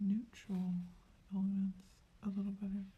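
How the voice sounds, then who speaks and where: This voice is soft-spoken. It keeps a moderate pace. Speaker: artist. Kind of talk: painting tutorial.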